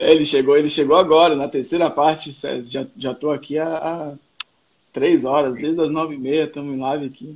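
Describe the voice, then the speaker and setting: A man's fairly high voice in a flat, monotone delivery. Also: moderate pace. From Salvador, Bahia, Brazil. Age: 30s. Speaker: skateboarder and marketing professional. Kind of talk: casual chat.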